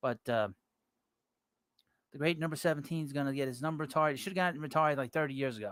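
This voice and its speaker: In a New York accent, a man with a fairly high pitch speaks very fast, with ordinary pitch variation and long, frequent pauses. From New York City. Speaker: baseball podcast host. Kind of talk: live stream sports talk. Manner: casual, hesitant with fillers.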